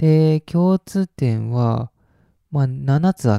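This man's pitch is fairly high. His tone is dark and mellow. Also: dry, close sound with no echo. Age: 20s. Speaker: solo podcaster. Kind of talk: casual monologue.

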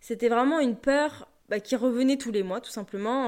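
In an ordinary speaking voice, a woman talks at a moderate pace with a fairly high pitch and lively intonation, on a very clean recording with a silent background. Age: 20s. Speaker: podcast host, personal development coach. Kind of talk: solo podcast monologue.

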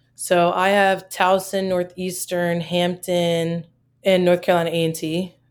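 A woman with an American accent speaks in a normal speaking voice at a fairly low pitch. The recording is very clean, with a silent background. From US, Maryland. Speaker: college basketball assistant coach. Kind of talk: casual interview.

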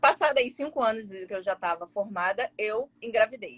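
Her intonation lively, a woman speaks at a fairly high pitch and a fairly slow pace. The sound is dry and close, with no echo. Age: 40s. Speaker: gastroenterologist. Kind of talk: casual interview.

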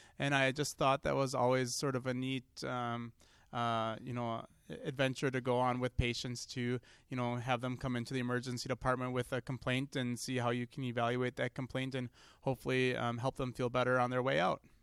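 Fairly quick and monotone, with flat intonation, a man at medium pitch speaks in an American accent on a very clean recording with a silent background and a dry, close sound with no echo. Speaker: emergency doctor. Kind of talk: interview.

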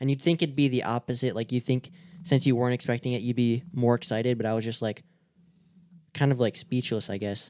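With an American accent, a man talks at a very fast pace in a medium pitch, his dark, mellow tone carrying fairly even intonation. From Michigan. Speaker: podcast host, snake hunter. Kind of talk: casual chat. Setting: video podcast.

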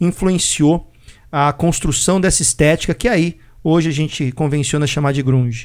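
A man speaks in a normal speaking voice at a moderate pace, his pitch fairly high. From Brazil. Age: 40s. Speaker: podcast host. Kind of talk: casual chat.

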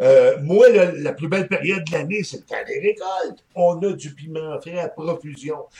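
A man talks at a fairly slow pace with hardly any pauses. His loudness swings widely. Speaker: hot pepper and hot sauce expert, shop owner. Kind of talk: casual interview. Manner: animated.

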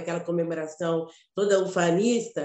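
Here a woman is speaking. Her pace is very slow. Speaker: actress and teacher. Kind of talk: casual chat.

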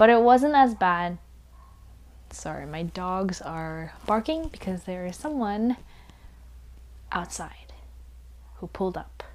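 With lively intonation, a woman talks at a very slow pace and takes long, frequent pauses. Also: medium pitch for a woman, big swings in loudness. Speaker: podcast host. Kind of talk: casual chat. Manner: halting.

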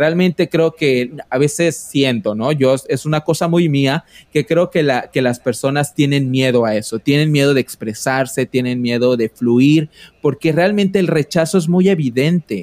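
Dry and close with no echo, the recording holds a man's unremarkable speaking voice at a fairly high pitch, fairly slow, with ordinary pitch variation and very even loudness. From Mexico, Quintana Roo (Yucatán peninsula). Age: 30s. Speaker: podcaster. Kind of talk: casual interview.

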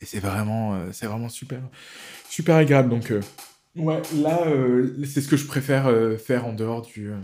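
This man speaks at a medium pitch. His tone is dark and mellow. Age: 40s. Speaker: tattoo artist. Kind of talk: casual chat.

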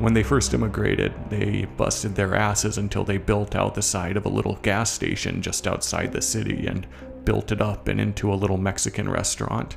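Music plays in the background as a man speaks at a fairly low pitch with lively intonation. His pace is fairly quick, with hardly any pauses. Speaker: horror fiction author and narrator. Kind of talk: horror story narration, first-person fiction read aloud. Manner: wry, conversational, self-interrupting, drifting into dread.

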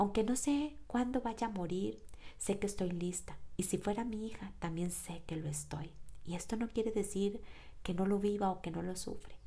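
At a moderate pace, a woman with a dark, mellow tone and a somewhat breathy medium-pitched voice shows ordinary pitch variation amid audible room echo. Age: 30s. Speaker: podcast host and personal coach. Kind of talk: reflective monologue.

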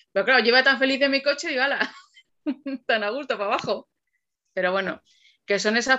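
A woman speaks in a bright, sharp tone with ordinary pitch variation over a quiet background. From Alcalá de Henares, Madrid region, Spain. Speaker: copywriter. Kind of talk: casual interview. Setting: video podcast.

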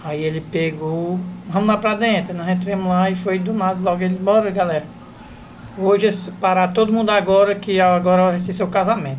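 A man with a northeastern Brazilian accent speaks at a high pitch. His pace is fairly quick and his intonation fairly even. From Ceará, Brazil. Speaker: comedian. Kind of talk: casual chat.

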